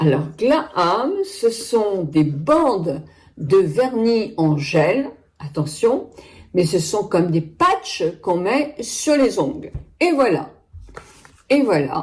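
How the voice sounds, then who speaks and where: A woman talks very slowly at a medium pitch, with long, frequent pauses. Her voice is somewhat breathy, its loudness very even. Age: 70s. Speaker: beauty product reviewer. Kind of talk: product review. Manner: chatty, hesitant.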